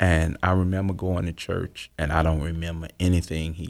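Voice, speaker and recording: In a Southern US accent, a man with a very deep, low voice speaks in a flat monotone. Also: very clean recording, silent background. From US South. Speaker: author and former drug dealer. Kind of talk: interview testimony.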